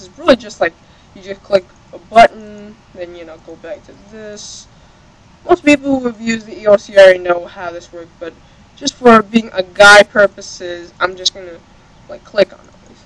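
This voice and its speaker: Over noticeable background noise, a woman's voice rises and falls sharply in loudness. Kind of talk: video game tutorial voiceover. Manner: hesitant, many filler words.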